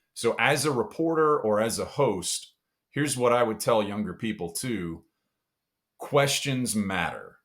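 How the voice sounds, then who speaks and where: A man's medium-pitched voice with a Texas accent, lively intonation and a fairly slow pace, on a very clean recording with a silent background. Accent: Southern US (Texas). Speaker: sports TV host. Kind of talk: podcast interview answer.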